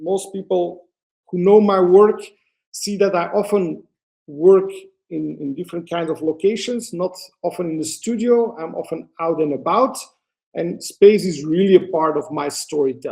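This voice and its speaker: A man with a Flemish accent speaks at a moderate pace in a high pitch, with ordinary pitch variation. His tone is dark and mellow, and his loudness swings widely. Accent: Flemish Belgian Dutch accent in English. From Belgium, Antwerp (Flanders). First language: Dutch. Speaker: photographer. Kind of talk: webinar presentation. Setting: online webinar. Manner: hesitant, many fillers.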